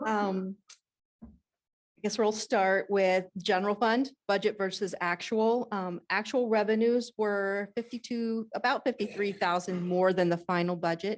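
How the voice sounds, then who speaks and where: Against a quiet background, a woman speaks in a plain, everyday voice at a medium pitch, fairly slowly and with fairly even intonation. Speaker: auditor. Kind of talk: presentation to school board.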